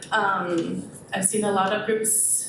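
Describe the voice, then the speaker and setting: A woman speaks at a medium pitch. Audible room echo and noticeable background noise surround her. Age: 20s. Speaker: public commenter, school instructional aide. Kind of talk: public comment at a school board meeting. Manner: hesitant, many fillers.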